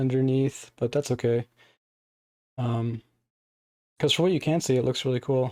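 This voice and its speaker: In a dark, mellow tone, a man speaks at a medium pitch. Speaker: action figure reviewer. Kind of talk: casual toy review to camera. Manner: casual, hesitant.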